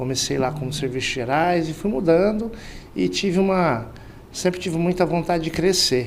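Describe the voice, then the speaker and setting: Audible echo from the room surrounds the voice. The delivery has a moderate tempo and ordinary pitch variation. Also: man, high pitch for a man. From Mato Grosso, interior Brazil. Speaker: sales director. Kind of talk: interview podcast. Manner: hesitant fillers.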